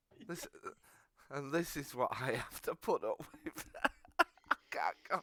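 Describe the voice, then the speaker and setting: A man with a northern English accent at a fairly slow pace, in a dry, close sound with no echo. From northern England. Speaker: podcast co-host. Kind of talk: casual chat. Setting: live stream.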